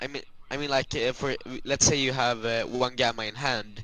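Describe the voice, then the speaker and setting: A bright, sharp voice with a slight Swedish accent speaks with fairly even intonation against a quiet background. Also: man. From Sweden. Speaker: card game player, opponent. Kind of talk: casual gameplay commentary chat. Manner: halting, many filler sounds.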